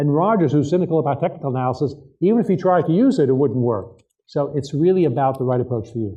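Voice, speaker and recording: Talking at a very fast pace, a fairly high-pitched man uses lively intonation amid audible room echo. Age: 60s. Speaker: author and trading expert. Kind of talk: keynote interview on stage.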